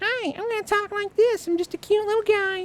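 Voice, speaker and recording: In a put-on character voice, the speaker talks at a fairly quick pace with an extremely high pitch. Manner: cutesy, meant to annoy.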